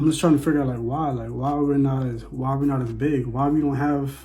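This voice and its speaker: Music plays in the background as a man speaks at a fairly quick pace. His medium-pitched delivery is monotone and flat. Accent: American. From Bahamas. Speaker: vlogger. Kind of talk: casual monologue. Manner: repetitive, conversational.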